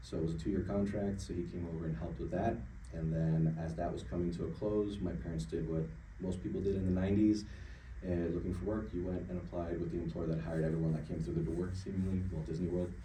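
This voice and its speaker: In a room with audible echo, a man with a very deep, low voice and ordinary pitch variation talks at a very fast pace. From Sweden, moved to Florida at eight. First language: Swedish. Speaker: HR consultant. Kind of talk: interview. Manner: hesitant, many filler words.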